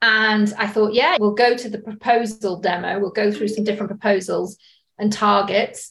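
Her pitch fairly high and her intonation fairly even, a woman speaks at a moderate pace. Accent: British. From UK. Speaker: sales director. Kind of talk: podcast interview.

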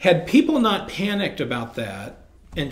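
There is audible room echo on this recording. The speaker is a man with an American accent. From central Illinois, US. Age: 40s. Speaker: retired bank CEO. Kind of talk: interview conversation. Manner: many fillers and repeated words.

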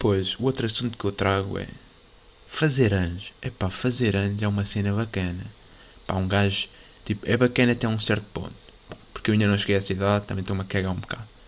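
A man with a European Portuguese accent, fairly low in pitch, at a very fast pace broken by long, frequent pauses. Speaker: podcast host. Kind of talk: casual monologue. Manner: animated.

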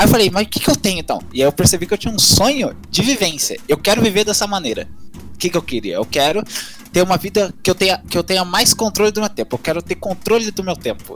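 Over music in the background, a man rattles along at a very fast pace in a high pitch with lively intonation. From Minas Gerais, Brazil (rural). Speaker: university student. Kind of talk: casual chat.

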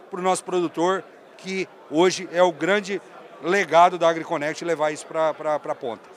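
Through noticeable background noise, a man with a high pitch talks at a moderate pace with fairly even intonation. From Brazil, northern Paraná (Londrina). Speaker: agronomist and sales director. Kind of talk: casual interview. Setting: trade fair stand.

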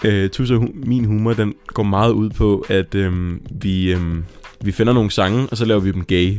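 A normal speaking voice from a man, fairly low in pitch, at a fairly slow pace with fairly even intonation. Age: 20s. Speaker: podcast co-host. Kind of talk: casual chat.

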